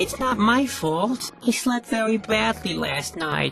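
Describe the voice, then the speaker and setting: A female-sounding put-on character voice, fairly high in pitch. It moves at a fairly slow pace against clear background noise. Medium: machinima. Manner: mopey, sarcastic.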